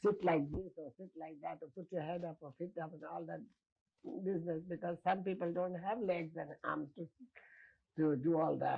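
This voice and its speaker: A woman's fairly low voice carries a dark, mellow tone, vocal fry and fairly even intonation. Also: moderate pace. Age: 70s. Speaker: international religious teacher. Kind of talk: interview. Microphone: distorted old video audio.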